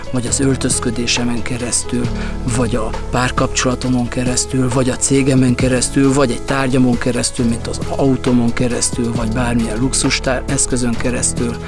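A man talks fairly quickly with ordinary pitch variation, the sound dry with no echo and clear music in the background. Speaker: coach or speaker. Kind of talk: casual vlog chat. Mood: calm, reflective. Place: open country. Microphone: lapel.

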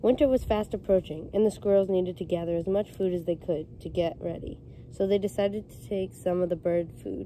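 The voice has a dark, mellow tone at a fairly quick pace, with ordinary pitch variation and big swings in loudness, recorded dry with no echo over light background noise. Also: woman. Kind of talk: storybook read-aloud. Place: street. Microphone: phone near.

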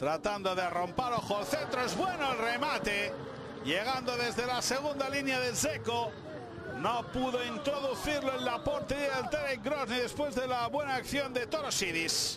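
Extremely high-pitched for a man, this male voice has an animated tone and very even loudness. He talks at a fairly slow pace amid noticeable background noise. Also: ordinary pitch variation. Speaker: sports commentator. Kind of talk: live sports commentary. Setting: broadcast recording of a match. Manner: animated, excitable play-by-play.

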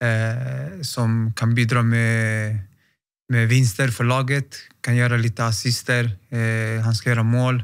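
Against a quiet background, a man talks at a very slow pace in a monotone, flat intonation with very even loudness. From Stockholm, Sweden. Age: 30s. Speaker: professional footballer; interview guest. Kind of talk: interview. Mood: calm, reflective. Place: studio. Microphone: studio mic.

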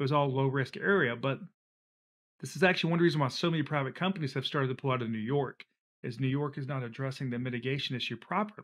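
Very fast and fairly high-pitched, a man with a Southern US accent speaks with ordinary pitch variation in a very clean recording with a silent background. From US South, Alabama and Georgia. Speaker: flood insurance expert. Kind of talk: casual interview.

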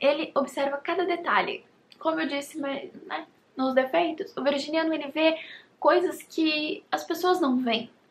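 Over light background noise, a woman with a high pitch speaks at a fairly slow pace with ordinary pitch variation. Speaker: YouTuber. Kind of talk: casual vlog talk to camera. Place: home room. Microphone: phone near.

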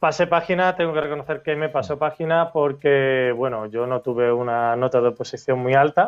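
This man's pitch sits fairly high for a man, with ordinary variation and hardly any pauses. He keeps a moderate pace against a quiet background. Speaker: schoolteacher. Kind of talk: interview testimony. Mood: reflective, a little self-deprecating.

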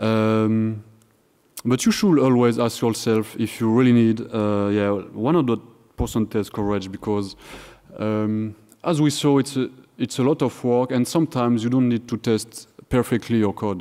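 In a French accent, a dark, mellow tone moves at a fairly slow pace over a quiet background. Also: man, medium pitch for a man, ordinary pitch variation. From France. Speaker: software engineer, conference speaker; conference speaker. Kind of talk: conference talk. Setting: stage with audience, microphone. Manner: halting, with fillers and repetitions. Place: hall.

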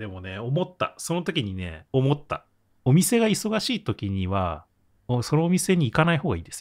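A man speaks at a moderate pace with a fairly high pitch. His pitch swings very widely, and his loudness shifts a lot. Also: very clean recording, silent background. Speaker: podcast co-host. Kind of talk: casual chat.

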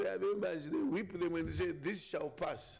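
In a room with audible echo, a man with vocal fry talks at a fairly slow pace with ordinary pitch variation.

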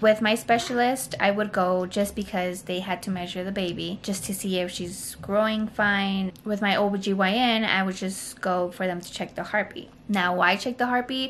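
A woman's voice at a moderate pace, with hardly any pauses, fairly even intonation and light background noise. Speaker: mother vlogger. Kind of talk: casual vlog story time. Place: home room. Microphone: phone near.

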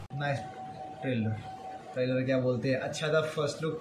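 Music plays in the background while a man talks with audible room echo. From Nepal. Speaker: YouTube reaction vlogger. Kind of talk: casual talk to camera. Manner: joking, playful. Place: home room. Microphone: phone near.

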